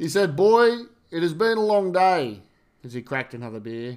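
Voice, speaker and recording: A man's high-pitched voice with an Australian accent, very wide pitch swings and a moderate pace. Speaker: podcast host. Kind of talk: reading aloud poetry; casual monologue.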